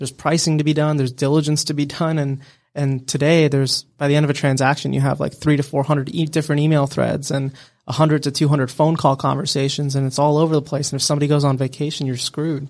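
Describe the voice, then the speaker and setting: On a very clean recording with a silent background, the voice rushes at a very fast pace in a monotone, flat intonation. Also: man. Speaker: startup founder and CEO. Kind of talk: casual interview. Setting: studio.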